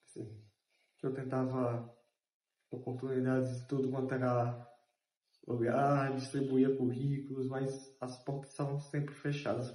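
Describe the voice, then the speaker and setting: A man with a dark, mellow tone and medium pitch speaks in a somewhat breathy, monotone, flat way at a fairly slow pace, with long, frequent pauses and audible room echo. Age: 30s. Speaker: journalism student and intern. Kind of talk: interview testimony.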